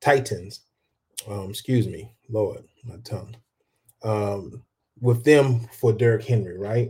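A man with an American accent and a medium pitch speaks very slowly in a dark, mellow, somewhat breathy tone, his intonation fairly even, his loudness swinging widely, and long pauses coming often. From rural US. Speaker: sports podcast host. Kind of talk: casual talk show. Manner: halting, many fillers.

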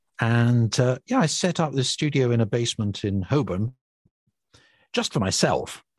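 Medium-pitched male voice, somewhat breathy, at a moderate pace with ordinary pitch variation, very even loudness and a dry, close sound with no echo. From Scotland. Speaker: radio presenter. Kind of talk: casual chat.

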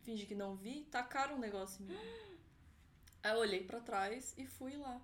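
A woman speaks at a high pitch. There is audible room echo. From Florianópolis, southern Brazil. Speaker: event producer, law graduate. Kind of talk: casual chat.

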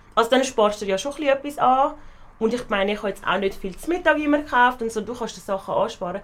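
A woman talks at a very fast pace. Her voice is fairly high with lively intonation. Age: 20s. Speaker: university student. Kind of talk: casual chat.

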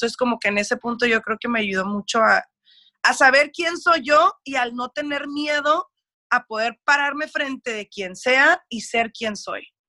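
Speaking at a fairly slow pace in a dry, close sound with no echo, a woman has a high pitch, a bright, sharp tone, and lively intonation. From US, raised by Mexican family, schooled in Mexico. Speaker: radio producer. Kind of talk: interview conversation. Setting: video call.

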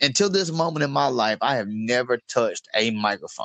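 Speaking with a Southern US accent, a man uses a fairly high pitch, lively intonation and a moderate pace. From Mississippi (Meridian, Picayune). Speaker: comedian and combat veteran. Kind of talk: casual chat.

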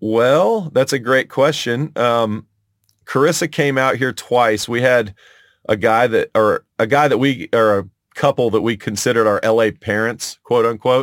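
An unremarkable speaking voice, this man talks with an American accent at a medium pitch and moderate pace, with ordinary pitch variation, very even loudness and a very clean recording with a silent background. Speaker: music producer and recording engineer. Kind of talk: casual chat.

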